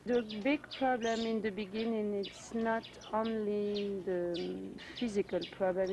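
A woman speaks at a moderate pace with fairly even intonation. Noticeable background noise is present. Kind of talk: interview answer. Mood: earnest, caring. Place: garden.

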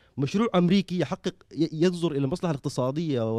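A man with a dark, mellow tone speaks at a fairly quick pace in a dry sound with no echo and a quiet background. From Sudan, western region (Abyei); Sudan. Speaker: political party representative; panelist. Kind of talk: panel discussion. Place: hall. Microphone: handheld.

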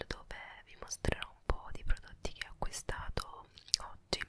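Whispered speech from a woman, moving at a moderate pace. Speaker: ASMR creator. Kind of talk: ASMR shopping haul. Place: home room. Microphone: handheld.

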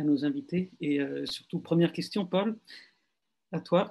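Light background noise behind a male voice. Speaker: journalist co-host. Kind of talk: live video discussion. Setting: video call. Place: home room. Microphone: webcam.

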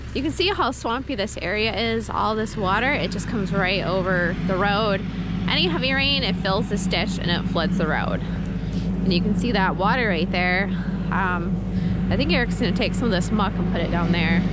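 A woman at a moderate pace, with a dry sound with no echo, amid loud background noise. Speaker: farm vlogger. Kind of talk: casual vlog chat. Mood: relaxed, slightly nervous. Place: farm machine. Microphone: phone near.

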